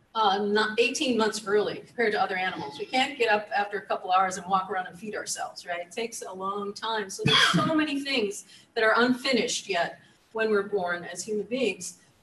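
A woman talks at a fairly quick pace with ordinary pitch variation, and there is audible room echo along with light background noise. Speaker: keynote speaker, psychology professor. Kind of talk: lecture. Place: hall.

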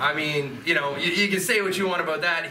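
A man talks at a fairly quick pace with a high pitch. His pitch varies in an ordinary way over noticeable background noise. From Canada, Toronto. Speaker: professional wrestler. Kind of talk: post-match interview. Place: hall. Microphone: handheld.

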